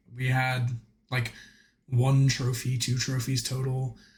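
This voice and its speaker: At a moderate pace, a man speaks somewhat breathily at a medium pitch. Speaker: gaming video creator. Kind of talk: gameplay commentary.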